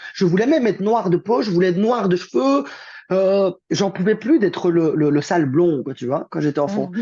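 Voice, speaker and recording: Against a quiet background, a man talks at a moderate pace with a high pitch, lively intonation and a dark, mellow tone. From Belgium, Liège. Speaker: therapist and coach. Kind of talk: interview conversation. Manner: casual, hesitant with repetitions.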